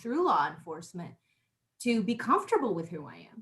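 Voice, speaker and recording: Somewhat breathy, a woman's voice moves at a moderate pace. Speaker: psychic talk show host. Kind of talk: casual interview chat. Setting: live online show.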